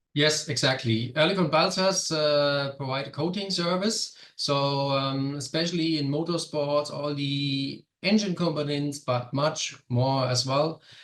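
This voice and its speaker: In a German accent, a man speaks at a fairly slow pace and fairly high pitch, with hardly any pauses. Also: ordinary pitch variation. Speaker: product manager. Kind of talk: webinar presentation. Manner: halting.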